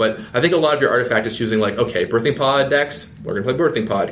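A man with a medium-pitched voice talks very fast while noticeable background noise carries on. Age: 20s. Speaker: game designer. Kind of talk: casual chat.

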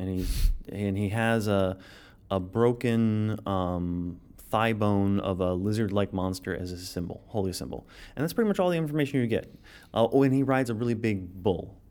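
A man talks at a moderate pace and a fairly low pitch, with ordinary pitch variation, in an unremarkable speaking voice. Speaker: game designer. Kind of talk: casual interview.

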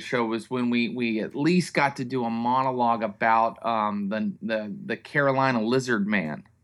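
Heard on a very clean recording with a silent background, a man with an American accent and a plain, everyday voice speaks at a moderate pace with a medium pitch and ordinary pitch variation. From US, West Virginia (Morgantown). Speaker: comedy writer. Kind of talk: casual chat.

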